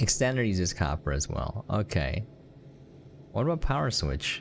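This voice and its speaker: Over a silent background in a very clean recording, a man with a fairly low pitch and vocal fry swings his pitch very widely. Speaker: gaming live streamer. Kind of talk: live gameplay stream, casual chat with viewers. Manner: animated, exclamatory.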